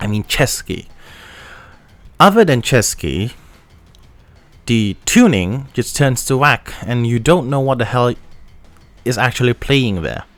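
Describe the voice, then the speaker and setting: Lively intonation at a fairly slow pace, with long, frequent pauses and music in the background. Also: man, medium pitch for a man. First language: not English. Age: young. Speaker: audio gear reviewer. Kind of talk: product review. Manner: halting, with many fillers and restarts.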